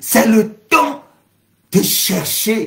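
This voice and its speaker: The speech goes at a very slow pace. Vocal fry runs through the voice. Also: man. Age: 60s. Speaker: pastor. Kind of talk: sermon. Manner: speaking in tongues interspersed.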